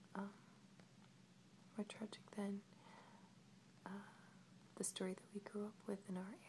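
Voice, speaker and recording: Amid noticeable background noise, a woman speaks in a medium pitch at a fairly slow pace. Her intonation is monotone and flat, with long, frequent pauses. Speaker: ASMR video creator. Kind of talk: ASMR storytelling and book showing. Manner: soft-spoken, whispery, slow.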